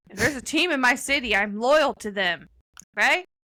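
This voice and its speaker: In a raised, projected voice with an American accent, the speaker has a bright, sharp tone and lively intonation. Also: woman. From US Midwest, St. Louis. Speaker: podcast co-host. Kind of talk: casual chat.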